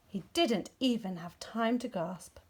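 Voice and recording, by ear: Slow-paced at times and fairly slow overall, a woman speaks with lively intonation, vocal fry and a slightly mellow tone.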